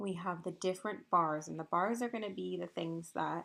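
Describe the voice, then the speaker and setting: With vocal fry, a woman talks at a medium pitch. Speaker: elementary school teacher. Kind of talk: tutorial.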